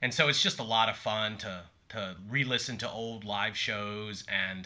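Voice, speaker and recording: Here a man speaks in a normal speaking voice at a fairly low pitch. His intonation stays fairly even. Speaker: podcast co-host. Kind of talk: casual chat. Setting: phone call.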